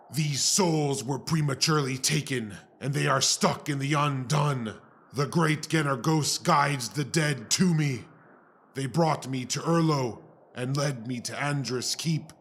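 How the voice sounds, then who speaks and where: Putting on a character voice, a man speaks at a fairly high pitch and a fairly slow pace. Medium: audio drama. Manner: grave, formal, measured.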